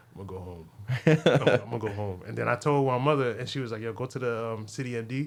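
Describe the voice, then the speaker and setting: A man at a very fast pace over noticeable background noise. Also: medium pitch for a man, ordinary pitch variation. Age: 30s. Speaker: comedian. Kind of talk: casual podcast chat. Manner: animated.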